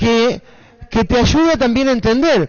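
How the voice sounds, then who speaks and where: Noticeable background noise runs beneath this male speaker's words. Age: 50s. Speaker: teacher. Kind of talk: casual chat.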